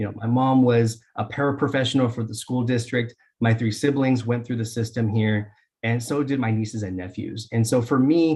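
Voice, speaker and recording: A man speaks at a medium pitch with a dark, mellow tone, a somewhat breathy quality and fairly even intonation over a quiet background. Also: moderate pace. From Dixon, California, US. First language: Spanish. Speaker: school board candidate. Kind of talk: candidate interview. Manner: halting, many fillers.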